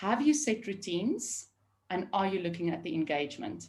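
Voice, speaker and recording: A somewhat breathy woman's voice. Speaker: remote team leadership consultant. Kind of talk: webinar panel discussion. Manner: fast.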